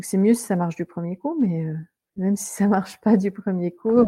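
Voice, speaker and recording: A somewhat breathy woman's voice, medium in pitch, dark and mellow in tone, at a moderate pace. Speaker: restaurant owner, former French teacher. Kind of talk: interview, casual conversation.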